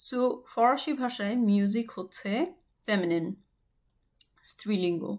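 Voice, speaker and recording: With lively intonation and a fairly high pitch, the woman has an ordinary speaking voice. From Bangladesh. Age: 30s. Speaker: language teacher. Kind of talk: tutorial.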